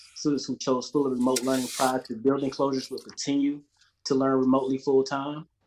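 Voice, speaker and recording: Speaking at a very fast pace, a man uses a flat monotone. His pitch is medium. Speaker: education department community liaison. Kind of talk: public meeting briefing.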